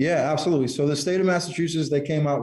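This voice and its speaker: Dark, mellow tone from a man, with fairly even intonation. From Connecticut. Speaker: cannabis business owner. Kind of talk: interview.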